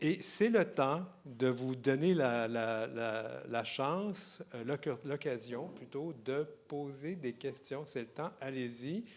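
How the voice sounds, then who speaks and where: In a Quebec accent, a man speaks at medium pitch with ordinary pitch variation. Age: 60s. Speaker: literary festival host. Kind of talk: public interview at book fair. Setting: stage with audience. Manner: halting, many repetitions.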